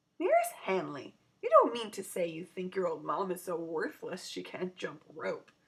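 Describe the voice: In a put-on character voice, a woman speaks fairly low with a slightly husky edge, big pitch swings and a moderate pace.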